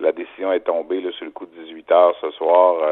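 A man talks at a moderate pace. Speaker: sports broadcaster. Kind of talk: phone interview. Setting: at home. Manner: halting.

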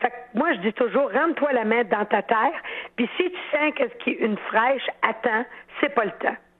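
In a Quebec accent, a woman with a high-pitched voice speaks with lively intonation and very even loudness. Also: moderate pace. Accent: Québécois French. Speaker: horticulturist. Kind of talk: call-in advice. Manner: animated.

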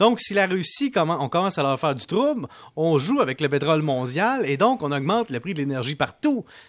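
Speaking at a moderate pace over a quiet background, a man with a high pitch makes very wide pitch swings. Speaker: economics columnist. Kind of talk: radio commentary segment.

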